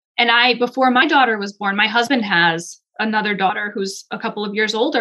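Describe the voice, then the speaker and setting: A woman with an American accent speaks at a fairly quick pace in a fairly high pitch, her tone bright and sharp and her intonation fairly even. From upstate New York. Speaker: psychologist. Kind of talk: interview.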